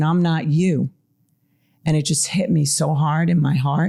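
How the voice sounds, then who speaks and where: With a Long Island accent, a woman speaks in a dark, mellow tone with fairly even intonation, in a very clean recording with a silent background. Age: middle-aged. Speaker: mental health therapist. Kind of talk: interview conversation.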